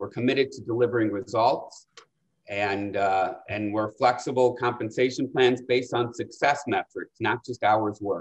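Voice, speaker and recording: A man speaks at a moderate pace with fairly even intonation. The background is quiet. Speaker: investment banker and panel moderator. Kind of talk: webinar panel moderation. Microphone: video call.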